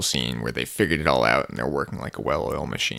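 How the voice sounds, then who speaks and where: A bright, sharp tone with vocal fry comes through in a very clean recording with a silent background. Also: man. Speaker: podcast co-host. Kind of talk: casual podcast chat.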